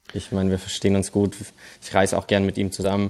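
A man with a fairly low pitch and a dark, mellow tone. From Germany, Stuttgart. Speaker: golf pro and caddie. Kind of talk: casual interview. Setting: remote call.

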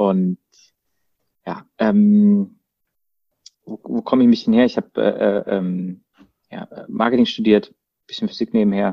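A man with a Baden accent speaks at a fairly slow pace, his loudness swinging widely and his pauses long and frequent. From Baden, southwest Germany (Freiburg). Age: 30s. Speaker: marketing agency co-founder. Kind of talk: casual chat. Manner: halting, many fillers.

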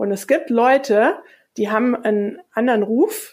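It is an unremarkable speaking voice. A woman talks at a fairly high pitch with fairly even intonation. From Hesse, Germany. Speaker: communication coach. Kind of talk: interview.

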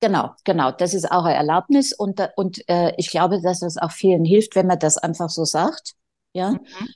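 With a dark, mellow tone and medium pitch, a woman speaks at a moderate pace with ordinary pitch variation. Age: 60s. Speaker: style consultant and boutique owner. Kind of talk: casual interview chat.

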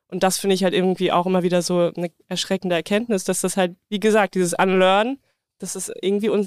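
At a fairly quick pace, a woman with a plain, everyday voice speaks in a dry, close sound with no echo. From rural Germany. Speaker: podcast co-host. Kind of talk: casual chat; scripted intro.

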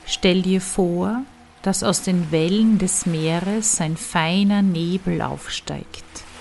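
A woman speaks very slowly in a medium pitch with a calm, soothing tone and fairly even intonation. Background noise is noticeable. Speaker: meditation guide and storyteller. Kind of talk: guided meditation. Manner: calm, slow, soothing; gentle, soft-spoken.

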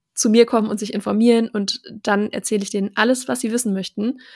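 A woman talks at a fairly quick pace with fairly high pitch and a plain, everyday voice. The recording is very clean with a silent background, and the sound is dry and close with no echo. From Germany, small town. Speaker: journalist and content creator. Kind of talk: interview.

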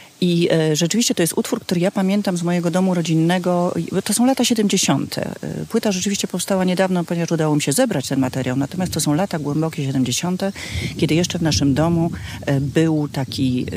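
Noticeable background noise sits behind a woman with a fairly low pitch. She speaks at a fairly quick pace with lively intonation. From Poland, Kraków. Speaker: festival organizer, daughter of a singer. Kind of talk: casual chat. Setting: outdoors in a garden.

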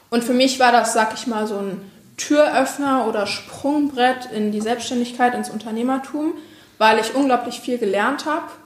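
Moderate pace and ordinary pitch variation amid noticeable background noise and audible room echo. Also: woman, high pitch for a woman. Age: 20s. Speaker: social media agency owner. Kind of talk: interview.

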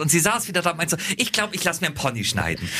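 A man with a high pitch and lively intonation speaks as music plays behind him. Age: 30s. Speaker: radio host. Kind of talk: casual chat.

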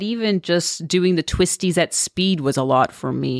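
A woman with a Canadian accent speaks at a fairly slow pace in a fairly low pitch with ordinary pitch variation, in an ordinary speaking voice. The recording is very clean with a silent background, and the sound is dry and close with no echo. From Canada, Toronto suburbs. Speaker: motorcycle traveler, former aid worker. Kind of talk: casual interview. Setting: studio.

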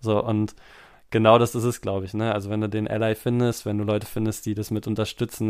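Monotone, flat intonation marks this man's fairly low voice as he talks at a fairly quick pace. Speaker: podcast host, teacher. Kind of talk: casual chat.

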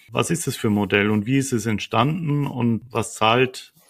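A man talks in a plain, everyday voice. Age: 50s. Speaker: podcast host. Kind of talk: interview.

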